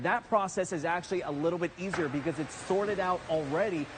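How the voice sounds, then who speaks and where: Over noticeable background noise, a man with an American accent talks very fast in a high voice. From Florida. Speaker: TV news reporter. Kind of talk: live TV news report.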